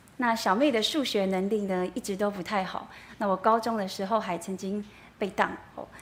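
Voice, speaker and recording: Amid audible room echo, a woman speaks at a moderate pace and medium pitch with fairly even intonation. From Taiwan, Yilan. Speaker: church member giving testimony. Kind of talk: testimony. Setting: church.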